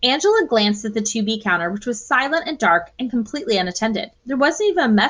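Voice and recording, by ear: With lively intonation, someone reads aloud in a natural voice.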